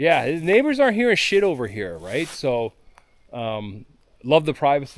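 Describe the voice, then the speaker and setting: This man's voice is loud. Its pitch is fairly high for a man. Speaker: off-grid homesteader vlogger. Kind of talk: casual vlog talk outdoors.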